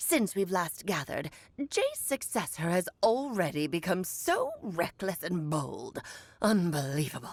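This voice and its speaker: A put-on character voice at a middle pitch and fairly slow pace. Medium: video game. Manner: coy, theatrical.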